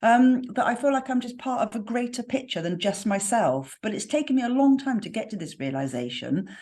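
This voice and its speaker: A woman speaks with a slight West Country accent, her fairly high pitch carried by lively intonation. She moves at a fairly quick pace with hardly any pauses. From West Country, England. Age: 50s. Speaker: spiritual mentor. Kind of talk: podcast interview.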